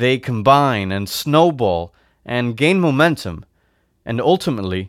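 Plain reading aloud, lively intonation, over a quiet background

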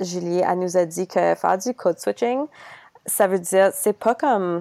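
At a very slow pace, a woman speaks with ordinary pitch variation in a dry, close sound with no echo. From Ontario. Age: 20s. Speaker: podcast host and student teacher. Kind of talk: casual interview.

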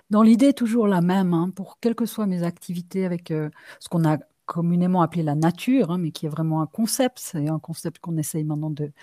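A woman's fairly low, dark and mellow voice, dry and close with no echo, in a very clean recording with a silent background. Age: 50s. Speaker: ecotherapist and shaman. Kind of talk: interview conversation.

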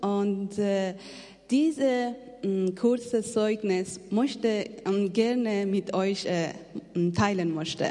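Very slow with long, frequent pauses, a woman's medium-pitched voice shows ordinary pitch variation amid audible room echo and noticeable background noise. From Afghanistan. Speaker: missionary. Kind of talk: testimony. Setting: church. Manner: halting.

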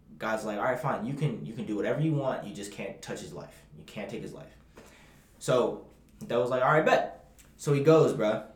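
The speech has lively intonation and a fairly quick pace. Audible room echo surrounds it. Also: man, medium pitch for a man. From Bahamas. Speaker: podcast co-host. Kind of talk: casual chat. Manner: animated.

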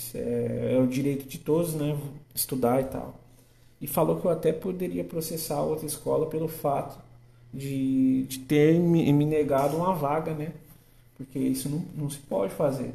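Over audible room echo, a man speaks fairly slowly with a fairly high pitch, a somewhat breathy, dark, mellow tone and ordinary pitch variation. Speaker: podcast host and agronomy student. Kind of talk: casual monologue. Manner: halting.

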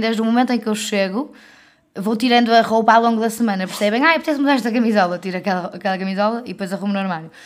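Speaking at a very fast pace with a European Portuguese accent, a woman keeps a fairly high pitch and fairly even intonation. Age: 20s. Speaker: podcast co-host. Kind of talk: casual chat.

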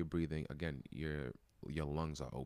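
A man with a New York accent speaks at a very fast pace in a very deep, low pitch. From New York City (Brooklyn). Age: 30s. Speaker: wellness community founder. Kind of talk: casual interview.

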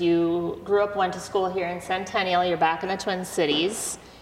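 Noticeable background noise runs behind a woman speaking at a moderate pace. Her fairly low voice stays monotone and flat. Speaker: podcast host. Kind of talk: casual interview chat.

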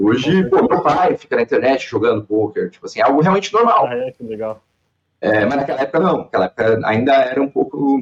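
A man talks very fast in a fairly high voice, his pitch swinging very widely, with a dry, close sound and no echo. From Santa Catarina, Brazil (Balneário Camboriú area). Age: 30s. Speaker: professional poker player. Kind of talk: casual interview.

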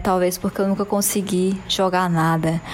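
An animated woman at a fairly slow pace, with noticeable background noise. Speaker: podcast co-host. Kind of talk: casual chat.

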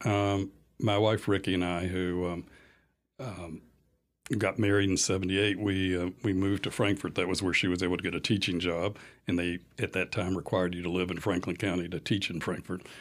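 Speaking at a fairly quick pace, a man with a very deep, low voice keeps a flat monotone, recorded very cleanly against a silent background. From Lexington, Kentucky. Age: 60s. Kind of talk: casual interview. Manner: hesitant, many fillers.

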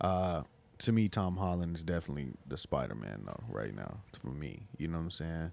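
On a very clean recording with a silent background, a man with a very deep, low pitch speaks at a moderate pace with lively intonation. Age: 20s. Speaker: podcast co-host. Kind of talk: casual chat.

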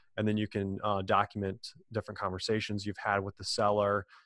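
A man with a fairly low pitch and an American accent talks at a fairly quick pace, his voice sounding dry and close with no echo against a quiet background. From US Midwest, Illinois. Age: 20s. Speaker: podcast co-host, real estate investor. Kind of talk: interview, casual chat.

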